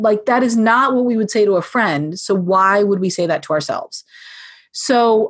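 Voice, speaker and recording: An unremarkable speaking voice belongs to a woman with a fairly high pitch. She talks at a fairly quick pace with lively intonation. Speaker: podcast guest, parenting book author.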